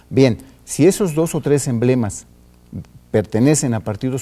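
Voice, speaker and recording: Speaking with a Mexican accent, a man uses a dark, mellow tone at medium pitch, keeping a moderate pace and ordinary pitch variation. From Mexico. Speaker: election guest. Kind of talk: TV interview. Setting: studio. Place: studio.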